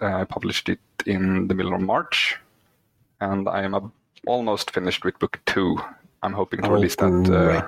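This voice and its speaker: A man with a Swedish accent at a fairly low pitch and moderate pace, in a dry, close sound with no echo. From Sweden. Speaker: indie author, works full time. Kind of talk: interview. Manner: halting.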